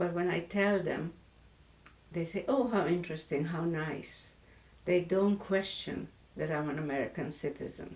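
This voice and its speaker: A woman with a Hungarian accent, fairly low in pitch, with ordinary pitch variation, a moderate pace and long, frequent pauses. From Hungary, Budapest. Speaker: author and Holocaust survivor. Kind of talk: interview testimony. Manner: halting, with self-corrections.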